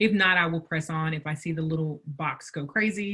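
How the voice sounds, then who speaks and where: A woman with a Southern US accent, very deep and low in pitch, at a moderate pace with fairly even intonation. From US South. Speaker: business workshop presenter. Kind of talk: webinar presentation.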